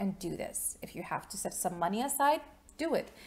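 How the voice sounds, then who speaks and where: A woman's fairly high, somewhat breathy voice at a fairly quick pace. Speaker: life coach video host. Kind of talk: motivational self-help talk to camera. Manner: fairly fast; conversational, chatty.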